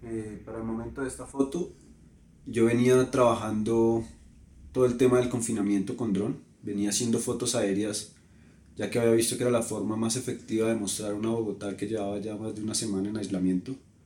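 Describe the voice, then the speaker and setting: Dark and mellow in tone, a man talks at a fairly quick pace and medium pitch with fairly even intonation. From Colombia. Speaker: photographer. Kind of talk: interview.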